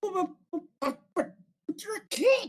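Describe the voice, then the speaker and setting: A put-on character voice comes through squeaky and at an extremely high pitch. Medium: actual play. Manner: cocky.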